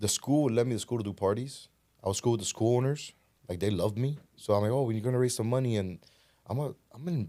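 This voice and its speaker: With a Spanish accent and a dark, mellow tone, a man of medium pitch speaks at a very fast pace with ordinary pitch variation and long, frequent pauses, all in a very clean recording with a silent background. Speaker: podcast guest, real estate businessman. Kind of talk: casual interview conversation.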